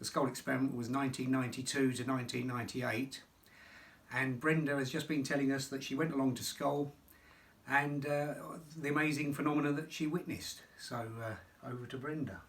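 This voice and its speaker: This man speaks at a fairly quick pace in a somewhat breathy, fairly high voice with monotone, flat intonation. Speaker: author, interviewer. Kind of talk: interview introduction to camera.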